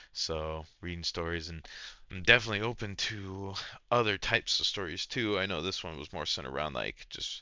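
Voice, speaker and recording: His voice is very deep and low. The man talks at a fairly quick pace with ordinary pitch variation. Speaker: online content creator reading and reacting to stories. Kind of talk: reading aloud with casual reactions. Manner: halting, stumbles over words; casual, slangy.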